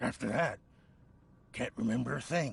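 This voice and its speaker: A raspy, medium-pitched put-on character voice from a man. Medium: video game. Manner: nervous, stammering.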